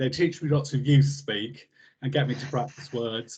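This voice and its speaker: This man speaks at a fairly high pitch, somewhat breathy, with fairly even intonation. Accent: southern English. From southern England, New Forest. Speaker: health service trainer. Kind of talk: casual chat.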